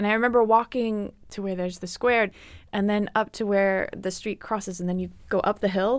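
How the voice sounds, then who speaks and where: In a normal speaking voice, a woman with an American accent speaks at medium pitch and a fairly quick pace with ordinary pitch variation, on a very clean recording with a silent background. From US South, Atlanta, Georgia. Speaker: classical harpist. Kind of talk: interview. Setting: studio.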